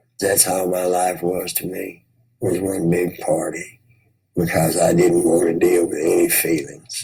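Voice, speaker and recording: A man talks with a Tennessee accent. His pace is fairly slow. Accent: Southern US (Tennessee). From US South, Memphis, Tennessee. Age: 60s. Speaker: recovering addict. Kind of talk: testimony.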